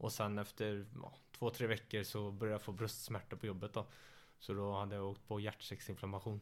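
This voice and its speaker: Moving at a fairly quick pace, a man speaks at a fairly low pitch with monotone, flat intonation. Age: 20s. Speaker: MMA fighter. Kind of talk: casual chat. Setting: living room, shared mic.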